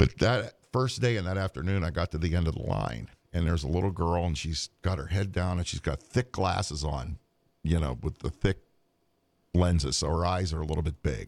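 A man with an American accent speaks at a fairly quick pace in a very deep, low voice with vocal fry and ordinary pitch variation. The recording is very clean, with a silent background and a dry, close sound with no echo. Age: 60s. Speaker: co-host, part-time Santa Claus. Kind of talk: casual chat.

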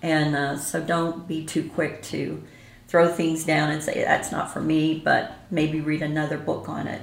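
Intonation stays monotone and flat. The pace is fairly slow. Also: woman. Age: 70s. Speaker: ghost tour operator and author. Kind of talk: casual interview chat.

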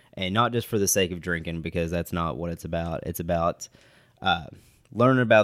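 Spoken at a fairly quick pace in an Appalachian accent, the recording is very clean with a silent background. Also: man. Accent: Appalachian Kentucky. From West Liberty, eastern Kentucky. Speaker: bourbon enthusiast, podcast co-host. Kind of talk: casual chat.

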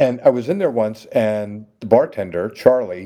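A man's dark, mellow voice at a fairly slow pace. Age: 40s. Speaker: leather titleholder and contest judge. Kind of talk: casual interview.

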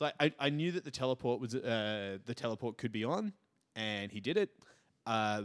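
A man talks in a plain, everyday voice at a fairly quick pace and medium pitch. The recording is very clean with a silent background, and the sound is dry and close with no echo. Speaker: podcast host, tabletop wargame player. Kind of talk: casual banter.

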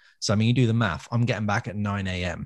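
Speaking at a very fast pace, a man talks with an English accent. His pitch is fairly low, with ordinary variation. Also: very clean recording, silent background. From England. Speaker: music podcast co-host, gigging musician. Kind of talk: casual chat. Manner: animated.

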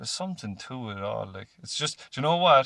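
In a Cork accent, a man talks at a moderate pace with a bright, sharp tone. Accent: Cork Irish. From Ireland, Cork. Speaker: podcast host. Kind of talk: casual chat.

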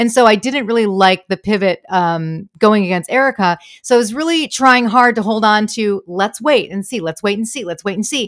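A woman speaks at a moderate pace in a fairly high voice. Her pitch varies in an ordinary way. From Michigan, US. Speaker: comedian and impressionist. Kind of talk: casual chat.

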